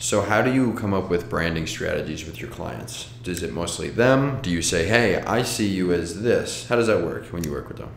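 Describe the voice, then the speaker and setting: A man with a fairly low pitch talks at a moderate pace with lively intonation and hardly any pauses. The recording has audible room echo and light background noise. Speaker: podcast host. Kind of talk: casual interview chat. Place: meeting room.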